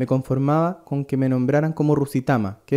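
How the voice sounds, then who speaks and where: Talking at a very fast pace, a man with a fairly high pitch and a dark, mellow tone keeps his intonation fairly even. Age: 30s. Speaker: singer and tattoo artist. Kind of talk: scripted performance monologue.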